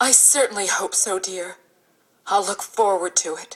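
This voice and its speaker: Using a put-on character voice, a woman speaks at a medium pitch and a moderate pace. Her loudness swings widely. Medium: stage play. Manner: prim, fussy.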